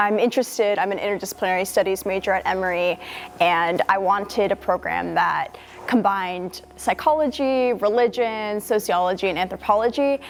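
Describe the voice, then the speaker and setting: Against noticeable background noise, a woman with an American accent talks at a fairly quick pace with ordinary pitch variation. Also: medium pitch for a woman. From US Northeast, near Boston. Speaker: university student. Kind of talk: interview testimony.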